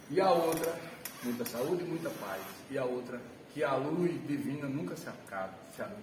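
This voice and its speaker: Lively intonation and a fairly high pitch mark this man's speech, which has long, frequent pauses, audible room echo and noticeable background noise. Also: moderate pace. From Alagoas, Brazil (northeast). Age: 70s. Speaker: retired math teacher. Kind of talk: personal life story talk to an audience.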